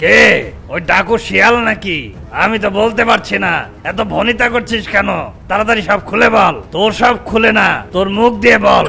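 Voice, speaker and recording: A man's cartoonish character voice, high-pitched, at a moderate pace over clear background noise. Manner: bossy, blustering.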